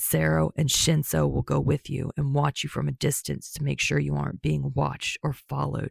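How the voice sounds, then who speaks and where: A raspy, put-on character voice speaks at a moderate pace with a very deep, low pitch. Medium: read story. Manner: brusque, profane.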